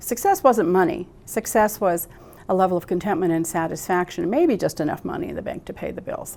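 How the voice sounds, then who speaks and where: A woman with an American accent speaks at a fairly quick pace, her pitch in the medium range with ordinary variation. It is an unremarkable speaking voice, with big swings in loudness. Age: 60s. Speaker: psychotherapist. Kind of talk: interview.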